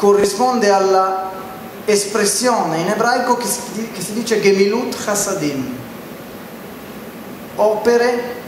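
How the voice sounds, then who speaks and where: Amid audible room echo and noticeable background noise, a man with a high pitch and ordinary pitch variation speaks with long, frequent pauses. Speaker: religious lecturer. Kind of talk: lecture. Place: hall. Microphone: handheld.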